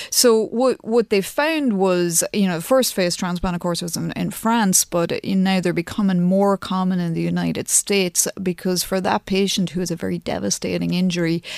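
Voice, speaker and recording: Hardly any pauses interrupt a woman with an Irish accent, who speaks at a moderate pace with fairly even intonation. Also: dry, close sound with no echo. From Ireland, County Louth. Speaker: plastic surgeon. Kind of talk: radio interview.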